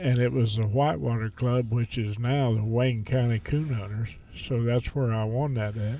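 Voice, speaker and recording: A man speaks with a Midwestern US accent at a medium pitch and a moderate pace. He barely pauses, and his intonation is fairly even. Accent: rural Midwestern US. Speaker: veteran coon hunter. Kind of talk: casual interview.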